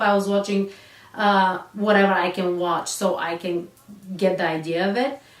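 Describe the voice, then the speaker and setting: A woman speaks with a non-native accent at a moderate pace. Noticeable background noise runs underneath. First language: not English. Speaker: real estate agent. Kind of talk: casual talk to camera.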